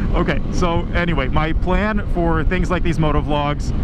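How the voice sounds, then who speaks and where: Loud background noise fills a recording whose sound is dry, with no echo. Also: man. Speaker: physician assistant student motovlogger. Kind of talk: casual vlog chat. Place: motorbike. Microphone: helmet.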